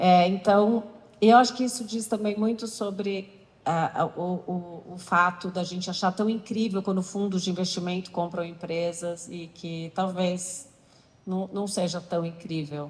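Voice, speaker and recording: The voice belongs to a woman and sounds somewhat breathy. She talks at a fairly slow pace. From Brazil. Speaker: talk host; panel host. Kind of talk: stage interview. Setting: stage with audience. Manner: animated. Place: stage. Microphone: handheld.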